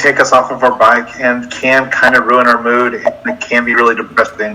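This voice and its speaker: Over noticeable background noise, a man with an American accent speaks in a medium pitch. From Mississippi, US South. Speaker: cyclist and middle school teacher. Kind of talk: interview.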